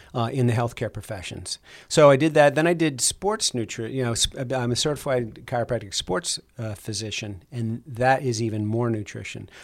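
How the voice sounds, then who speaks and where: A man speaks in a normal speaking voice at medium pitch and a moderate pace, with ordinary pitch variation and an American accent. The recording is very clean, with a silent background. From New Jersey, US. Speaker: chiropractor and diet program clinician. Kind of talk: interview.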